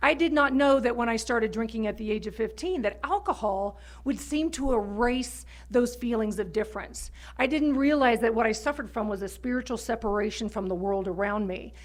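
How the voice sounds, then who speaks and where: A woman with a normal speaking voice and an American accent, fairly high in pitch, fairly quick, with ordinary pitch variation. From Texas, near Houston. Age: 50s. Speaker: recovery speaker. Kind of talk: testimony.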